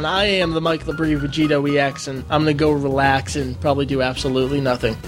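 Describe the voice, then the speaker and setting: Over clear background music, a man performs a put-on guttural character voice at a very fast pace in a fairly high pitch. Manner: playful, joking.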